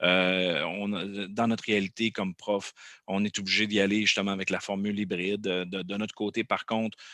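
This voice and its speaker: A man speaks at a moderate pace with a fairly low pitch, a bright, sharp tone, and monotone, flat intonation. The recording is very clean, with a silent background and a dry, close sound with no echo. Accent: Quebec. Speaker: podcast host and teacher. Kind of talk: casual interview. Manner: halting, many repetitions.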